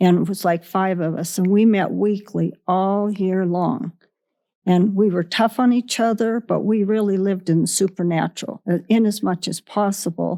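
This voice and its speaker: A woman with a Western US accent speaks at a moderate pace. Her tone is dark and mellow, and her intonation stays fairly even. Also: medium pitch for a woman. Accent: American Western. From Wyoming. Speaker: ranch woman. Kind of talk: interview answer.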